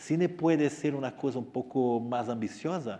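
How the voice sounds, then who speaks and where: Lively intonation marks this man's speech, delivered at a moderate pace with a Portuguese accent. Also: quiet background. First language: Portuguese (speaking Spanish). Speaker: writer. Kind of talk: Q&A talk to students. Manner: halting.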